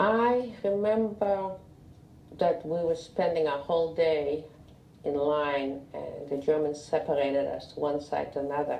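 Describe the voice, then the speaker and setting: A woman speaks at a fairly slow pace in a very deep, low voice. There is audible room echo. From Lithuania. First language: Russian. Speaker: Holocaust survivor. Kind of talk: oral history interview. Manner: halting.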